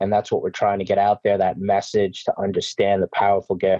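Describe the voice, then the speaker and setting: In a New York accent, a man speaks with a fairly low pitch. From New York City. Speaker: organ procurement CEO.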